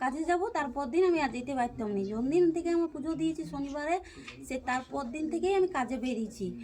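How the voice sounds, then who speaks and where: Background noise is noticeable behind a woman's voice. She speaks high in pitch with lively intonation. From West Bengal, Bankura district. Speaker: temple devotee. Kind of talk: testimony. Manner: halting.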